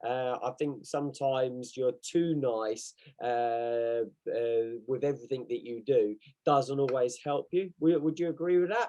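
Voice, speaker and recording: A man with an English accent speaks at a fairly slow pace in a medium pitch. His tone is dark and mellow, with ordinary pitch variation. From England. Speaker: podcast co-host and martial arts coach. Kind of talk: casual chat.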